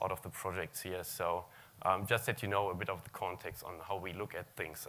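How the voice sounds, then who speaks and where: A man with a German accent talks at a fairly quick pace in a very deep, low pitch. His tone is bright and sharp, his intonation fairly even. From Germany. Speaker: search technology consultant. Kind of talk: conference talk.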